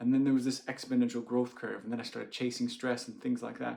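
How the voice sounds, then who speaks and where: A man speaks with an American accent. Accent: American, sometimes taken for Canadian. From United States. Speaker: doctor. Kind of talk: personal story to camera. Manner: casual, many fillers.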